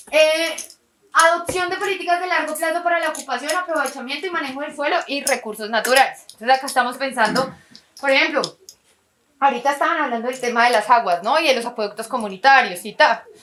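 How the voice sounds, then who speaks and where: A woman with a Quindío accent talks at a very fast pace. Her high pitch carries lively intonation. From Colombia, Quindío. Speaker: workshop facilitator. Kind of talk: lecture. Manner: conversational, rhetorical questions.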